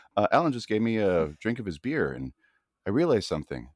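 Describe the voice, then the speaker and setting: Recorded in a dry, close sound with no echo, a man talks at a fairly quick pace in a fairly low pitch, with very wide pitch swings and vocal fry. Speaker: podcast guest. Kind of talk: casual chat. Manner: halting, filler-heavy.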